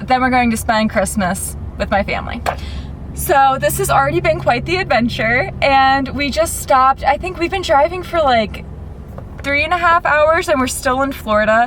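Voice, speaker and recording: A woman's high-pitched voice with an American accent, with noticeable background noise. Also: lively intonation, moderate pace. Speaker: vlogger. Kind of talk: travel vlog to camera. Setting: in a car.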